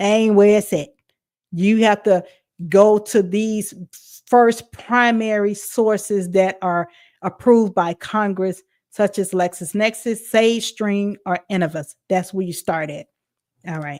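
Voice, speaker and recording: Speaking at a fairly slow pace in a Southern US accent, a woman keeps a medium pitch and fairly even intonation in a very clean recording with a silent background. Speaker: podcast host. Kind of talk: educational talk. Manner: drawling; halting.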